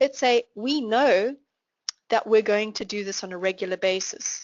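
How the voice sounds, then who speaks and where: A woman's fairly high voice in a South African accent, with ordinary pitch variation. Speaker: finance trainer. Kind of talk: online class Q&A.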